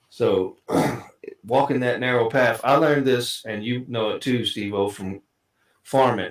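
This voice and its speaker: A man with a Southern US accent, medium pitch, ordinary pitch variation and a fairly quick pace. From Kentucky. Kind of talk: casual chat.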